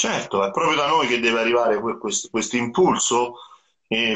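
Over a quiet background, a man with an unremarkable speaking voice talks at a fairly quick pace with ordinary pitch variation. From central Italy (Rieti area); central Italy. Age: 40s. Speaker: rock guitarist and songwriter; guest. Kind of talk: live interview. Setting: Instagram live video call. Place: home room.

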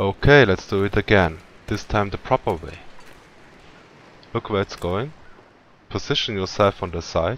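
Pausing long and often, a man with a strong Swiss accent speaks at a moderate pace with fairly low pitch and ordinary pitch variation. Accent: heavy Swiss. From Switzerland. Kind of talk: video game tutorial narration.

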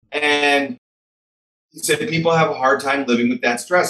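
With an American accent and a bright, sharp tone, a man talks at a moderate pace amid audible room echo. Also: quiet background. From US Midwest, Chicago. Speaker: author; podcast guest. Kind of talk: interview. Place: home room. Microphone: webcam.

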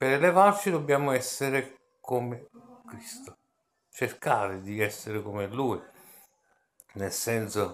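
A man talks at a very slow pace with long, frequent pauses, lively intonation and big swings in loudness. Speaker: religious video blogger; religious vlogger. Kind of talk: scripture reading and reflection. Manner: halting, with repetitions. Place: home room. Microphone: phone near.

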